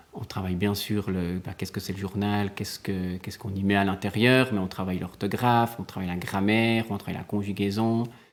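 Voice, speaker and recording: This man has a fairly low pitch and monotone, flat intonation. He moves at a fairly quick pace with hardly any pauses. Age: 30s. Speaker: primary school teacher. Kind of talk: interview. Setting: quiet classroom. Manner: hesitant, many fillers.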